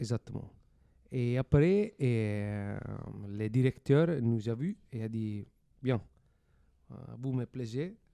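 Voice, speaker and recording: A man with an Italian accent and a dark, mellow tone, medium-pitched with ordinary pitch variation, speaking at a very slow pace with long, frequent pauses and big swings in loudness, in a dry, close sound with no echo. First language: Italian (speaking French). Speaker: stage actor. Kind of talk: interview.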